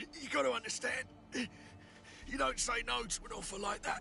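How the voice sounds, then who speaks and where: Clear music sounds behind the speaker. A man puts on a character voice. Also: moderate pace. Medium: video game.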